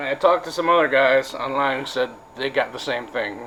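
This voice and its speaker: Noticeable background noise behind a man with an American accent, fairly high in pitch and flat, monotone in intonation. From Wisconsin. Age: 40s. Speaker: vlogger. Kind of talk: casual vlog monologue. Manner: halting, many fillers.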